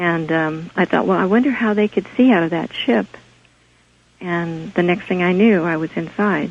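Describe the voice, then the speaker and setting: A soft-spoken woman talks with an American accent at a moderate pace. Her pitch is fairly low, with ordinary variation. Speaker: caller. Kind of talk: phone-in testimony. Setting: phone call.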